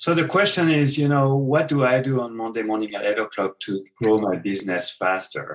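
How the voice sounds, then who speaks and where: A man at medium pitch and moderate pace with a French accent. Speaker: business author. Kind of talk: interview.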